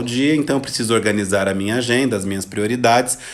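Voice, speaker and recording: A normal speaking voice from a man at medium pitch, with ordinary pitch variation. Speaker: psychologist giving a live talk. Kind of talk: livestream talk.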